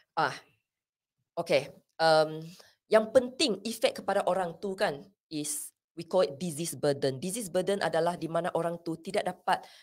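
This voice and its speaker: A woman speaks with a non-native accent at a fairly slow pace. Her pitch variation is ordinary, and the background is quiet. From Sarawak, Malaysia. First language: not Malay (speaking Malay). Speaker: pharmacist and mental health first aid instructor; mental health first aid instructor. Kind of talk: interview. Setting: studio. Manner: code-switching Malay and English. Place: studio. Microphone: studio mic.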